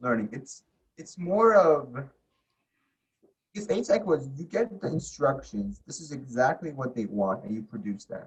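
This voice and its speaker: Pitched fairly high, a man's somewhat breathy voice moves through very wide pitch swings and big swings in loudness. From abroad, came to US at age ten. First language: not English. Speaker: podcast guest, college student. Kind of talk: casual chat.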